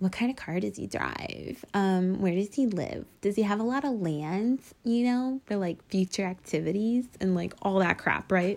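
At a moderate pace with hardly any pauses, an ordinary speaking voice with an American accent shows ordinary pitch variation. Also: woman, medium pitch for a woman. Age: 20s. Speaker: podcast host. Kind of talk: angry rant, casual venting. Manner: filler-heavy, exasperated.

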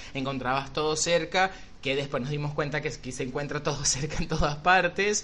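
An unremarkable speaking voice, a man's, fairly high in pitch, fairly even in intonation, at a moderate pace. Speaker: podcast co-host and makeup artist. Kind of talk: casual chat.

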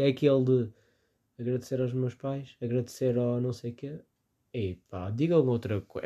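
With a European Portuguese accent and a dark, mellow tone, a man speaks at a fairly quick pace over a quiet background. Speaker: podcast host. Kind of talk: casual solo commentary. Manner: animated.

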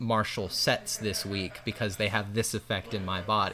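This man has a Midwestern American accent and a fairly low pitch. His tone is bright and sharp, with fairly even intonation. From US Midwest, northwest Ohio. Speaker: app developer and user experience researcher. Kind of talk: casual interview conversation. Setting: in person at a lake house.

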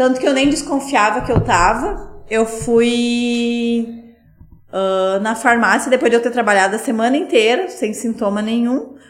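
Against noticeable background noise, a woman with a fairly high voice speaks fairly slowly with lively intonation. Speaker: gym owner and physical educator. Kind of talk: casual interview chat.

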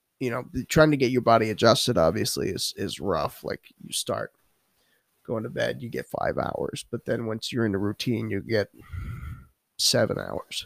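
A man speaks in a New York accent at a moderate pace. He leaves long, frequent pauses. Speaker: podcast host. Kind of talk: casual chat. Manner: joking, laughs often.

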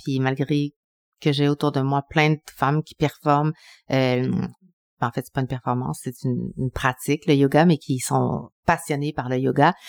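A woman's very deep, low voice at a fairly slow pace, in a dry, close sound with no echo. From Quebec City, Quebec (Chilean family). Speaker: TV journalist and cooking show host. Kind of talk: casual interview.

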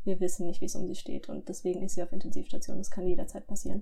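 A woman at a very fast pace, with fairly even intonation and noticeable background noise. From southwestern Germany (Lörrach, Baden). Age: 20s. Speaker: medical student recounting illness. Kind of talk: testimony.

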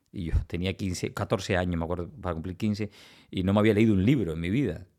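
A man's unremarkable speaking voice, fairly low and fairly quick, with ordinary pitch variation, on a very clean recording against a silent background. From Cuba, Villa Clara province. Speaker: oncologist. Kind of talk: interview.

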